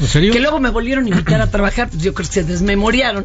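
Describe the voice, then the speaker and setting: Over noticeable background noise, a woman talks in a fairly high voice that swings very widely in pitch. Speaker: radio host. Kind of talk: casual chat. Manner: animated.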